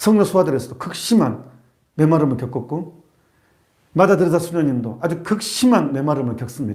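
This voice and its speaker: A man talks at a fairly quick pace with a fairly high pitch and lively intonation. His voice is somewhat breathy, and the room echo is audible. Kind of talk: sermon. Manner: fast; animated.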